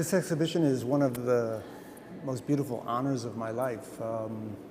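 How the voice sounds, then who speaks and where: Over noticeable background noise and audible room echo, a man talks at a moderate pace with a medium pitch and ordinary pitch variation. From US Midwest (Fort Wayne, Indiana). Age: 60s. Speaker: photographer. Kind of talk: interview. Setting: museum.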